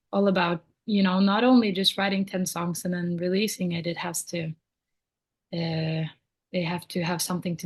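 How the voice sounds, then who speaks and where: Somewhat breathy and fairly low-pitched, a woman talks at a fairly quick pace with a monotone, flat intonation. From Norway. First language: Norwegian. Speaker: singer-songwriter. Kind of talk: podcast interview answer.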